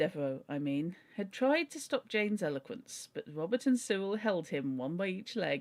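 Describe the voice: The speaker is doing plain reading aloud. It is delivered as plain reading aloud throughout.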